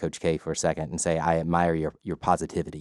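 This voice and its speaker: A man speaks with an American accent and a very deep, low pitch. The recording is very clean with a silent background, dry and close with no echo. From US South, LaGrange, Georgia. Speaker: filmmaker. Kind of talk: casual chat. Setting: studio. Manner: halting.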